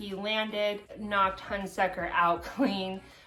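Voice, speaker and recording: Over noticeable background noise and audible room echo, a woman talks at a fairly slow pace in a flat, monotone way. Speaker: MMA fan vlogger. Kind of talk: casual vlog commentary.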